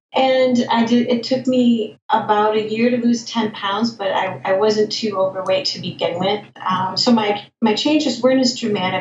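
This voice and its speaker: This woman, with an American accent, has a normal speaking voice, a fairly high pitch, ordinary pitch variation and a moderate pace. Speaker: plant-based diet advocate. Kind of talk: interview.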